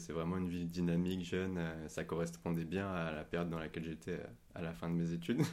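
Very deep, low male speech carrying audible room echo. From Paris, France. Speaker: podcast guest. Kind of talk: casual chat.

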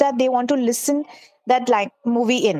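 The sound is dry and close with no echo as a woman with a high pitch talks at a moderate pace. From Dubai, raised by Indian family. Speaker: app startup founder. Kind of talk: interview.

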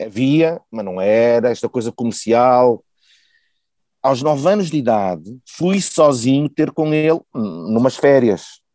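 In a dry, close recording with no echo and a quiet background, a man with a medium pitch and a dark, mellow tone talks very slowly with lively intonation. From Porto, northern Portugal. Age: 40s. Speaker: podcast guest, volunteer contributor. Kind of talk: casual interview conversation.

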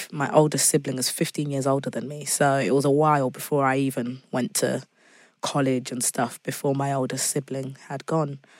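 A woman with a British accent speaks at a moderate pace in a very deep, low pitch with monotone, flat intonation. The recording is very clean, with a silent background. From England, Zimbabwean family. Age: 20s. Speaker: singer-songwriter. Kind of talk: casual interview chat.

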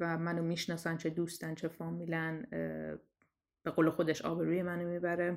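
A woman with fairly low pitch and monotone, flat intonation, long, frequent pauses, on a very clean recording with a silent background. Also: moderate pace. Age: 30s. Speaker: storyteller sharing personal story. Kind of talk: personal testimony.

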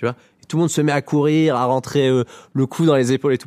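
Here is a man with an unremarkable speaking voice. The recording is very clean with a silent background, and the sound is dry and close, with no echo. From rural Lower Normandy, France. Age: 30s. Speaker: comedian. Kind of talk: casual interview.

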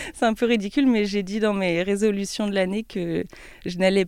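A woman speaks in a plain, everyday voice at a medium pitch and a fairly quick pace. Her intonation is fairly even, and the recording is very clean, with a silent background. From France, Troyes. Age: 20s. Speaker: YouTuber and business student. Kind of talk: interview.

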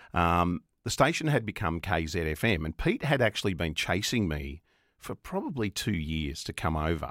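Speaking with an Australian accent and lively intonation, a man with a very deep, low voice comes through on a very clean recording, with a silent background and a dry, close sound with no echo. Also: moderate pace. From Australia, Melbourne (Coburg). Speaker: radio presenter. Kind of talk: interview. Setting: studio.

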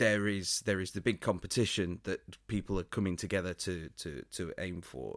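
Very cleanly recorded against a silent background, a man talks in a normal speaking voice, fairly low in pitch with ordinary pitch variation. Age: 40s. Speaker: podcast co-host. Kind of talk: casual chat.

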